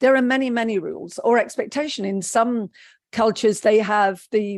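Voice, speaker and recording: The speaker has a British accent. The background is quiet. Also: woman. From England, raised by Polish parents. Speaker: psychotherapist. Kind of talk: interview.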